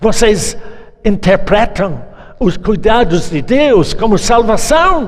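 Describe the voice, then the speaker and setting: Audible room echo surrounds a man's voice. He talks very slowly but with lively intonation. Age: 80s+. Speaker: preacher. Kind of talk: sermon.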